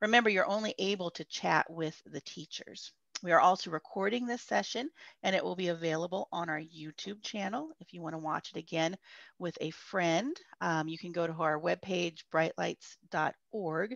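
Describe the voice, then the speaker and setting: A woman with an ordinary speaking voice, fairly low pitch and ordinary pitch variation, at a moderate pace with big swings in loudness, in a dry sound with no echo over a quiet background. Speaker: camp host. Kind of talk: session introduction to children. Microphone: video call.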